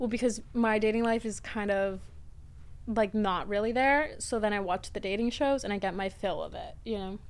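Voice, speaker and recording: At a moderate pace, a woman with a fairly high pitch and ordinary pitch variation talks in an unremarkable speaking voice. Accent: American. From Florida, US. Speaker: reality TV personality and podcaster. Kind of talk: casual chat.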